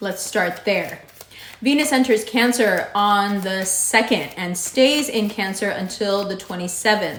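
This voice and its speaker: Amid noticeable background noise and audible room echo, a woman at a medium pitch speaks fairly slowly with ordinary pitch variation. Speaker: astrologer. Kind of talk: horoscope reading.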